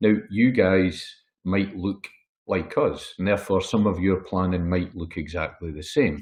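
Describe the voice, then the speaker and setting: A man's somewhat breathy, very deep, low voice with a Scottish accent, at a moderate pace against a quiet background. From Scotland. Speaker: wealth management consultant. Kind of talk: webinar presentation. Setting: webinar.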